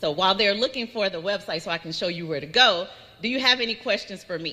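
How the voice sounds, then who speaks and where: A woman talks very fast and loud at a medium pitch. Her tone is bright and sharp, with lively intonation. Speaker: state transportation agency program presenter. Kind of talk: conference presentation. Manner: conversational.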